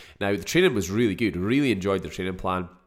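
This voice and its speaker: In a Scottish accent, a man speaks with a fairly low pitch. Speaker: podcast host and fitness business owner. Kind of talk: casual solo podcast monologue. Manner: casual, chatty, filler words.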